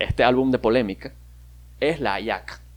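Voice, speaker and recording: With vocal fry and an animated tone, a man speaks at a moderate pace using ordinary pitch variation. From Venezuela, Maracaibo. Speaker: podcaster. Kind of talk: casual monologue.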